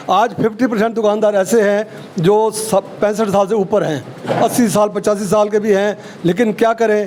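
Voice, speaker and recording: A man's high, monotone voice with flat intonation amid noticeable background noise. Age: 70s. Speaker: shopkeepers' association general secretary. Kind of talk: interview.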